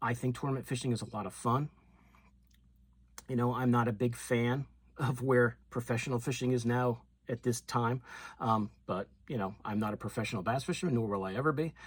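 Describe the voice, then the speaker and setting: A man's somewhat breathy, medium-pitched voice at a fairly quick pace with fairly even intonation. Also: very clean recording, silent background. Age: 60s. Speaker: fishing YouTuber. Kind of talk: casual talk to camera.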